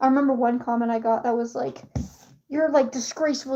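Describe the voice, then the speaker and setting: A woman speaks with an American accent at a high pitch. Music plays in the background. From USA. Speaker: streamer. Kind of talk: casual chat. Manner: animated.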